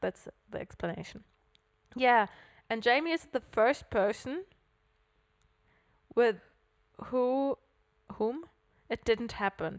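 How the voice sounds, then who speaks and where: With a German accent, a woman speaks at a very slow pace with long, frequent pauses, lively intonation and a high pitch, in a dry, close sound with no echo. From Germany, Hamburg. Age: 20s. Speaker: podcast co-host. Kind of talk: casual chat.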